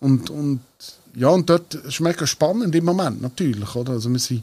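Speaking at a moderate pace, a man with a fairly high pitch sounds somewhat breathy and uses lively intonation. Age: 40s. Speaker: singer of a dialect band. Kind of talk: casual chat. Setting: band rehearsal room.

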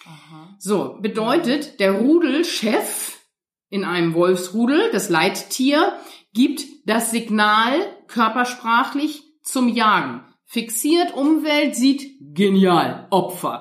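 A woman speaks very slowly in a fairly high pitch, her voice making very wide pitch swings. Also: big swings in loudness. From northern Germany, near Hamburg. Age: 50s. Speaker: dog trainer. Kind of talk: interview.

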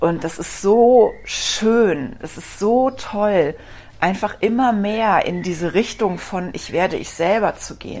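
Very slowly, a woman speaks at a medium pitch for a woman with ordinary pitch variation and big swings in loudness. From Rhineland, Germany. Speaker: podcast host, dog physiotherapist. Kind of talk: personal storytelling monologue.

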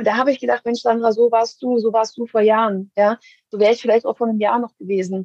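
A woman with a fairly high pitch talks at a very fast pace in a monotone, flat delivery. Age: 40s. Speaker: executive assistant. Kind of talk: interview.

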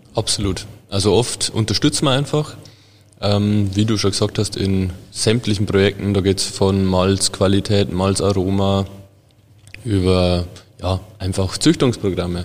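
A man's fairly low, fairly slow speech with fairly even intonation, very even loudness, and long, frequent pauses. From Bavarian Forest, Bavaria. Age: 20s. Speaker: food chemist and sensory lab head. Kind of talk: casual interview.

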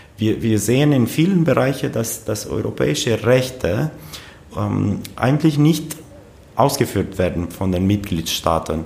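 Here a man speaks at a very slow pace with a medium pitch. His intonation is lively. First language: Romanian (speaking German). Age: 30s. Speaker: politician, member of parliament. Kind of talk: casual interview. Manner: halting, frequent repetitions.

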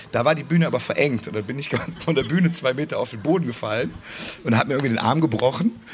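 Over noticeable background noise, a man with a fairly high pitch talks at a very fast pace with lively intonation. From Cologne, Germany. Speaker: carnival band musician. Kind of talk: live podcast interview. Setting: festival stage with audience.

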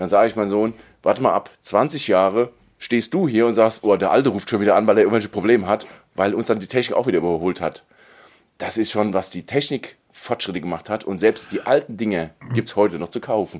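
At a fairly quick pace, a man talks in a plain, everyday voice. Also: fairly low pitch for a man, ordinary pitch variation. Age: 40s. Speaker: tech podcast host. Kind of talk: casual chat.

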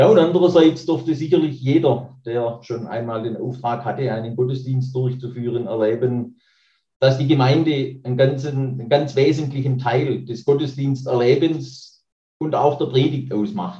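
Somewhat breathy, a man speaks at a moderate pace with a medium pitch and ordinary pitch variation. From Baden-Württemberg, Nagold area. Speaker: church minister. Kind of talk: interview.

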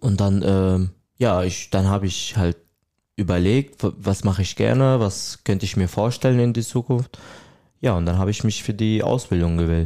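Man's fairly low, dark, mellow voice at a moderate pace, with ordinary pitch variation and very even loudness. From Syria. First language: Arabic (speaking German). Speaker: trainee hairdresser. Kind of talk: interview.

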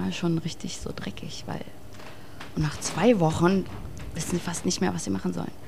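A woman talks at a moderate pace with lively intonation and long, frequent pauses, amid audible room echo and noticeable background noise. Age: young. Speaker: rock singer, band leader. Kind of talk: casual chat.

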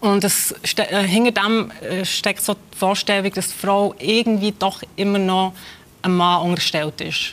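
At a fairly slow pace, a woman with a medium pitch talks with fairly even intonation. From Switzerland (born in Kosovo, raised in Switzerland from age five). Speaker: author and literary scholar. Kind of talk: interview. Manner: hesitant, many fillers.

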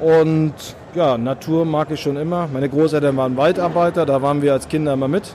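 A man speaks with a slight northern German accent and fairly even intonation. Noticeable background noise is present. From northern Germany. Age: middle-aged. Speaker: hunter and hunting filmmaker, police officer. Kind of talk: interview.

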